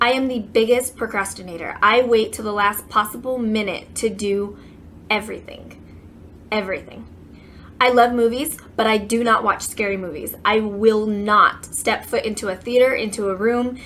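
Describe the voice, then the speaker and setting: Using a normal speaking voice with an American accent, a woman talks at a moderate pace and a fairly high pitch with fairly even intonation. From California. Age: 20s. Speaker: beauty vlogger. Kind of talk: casual chat.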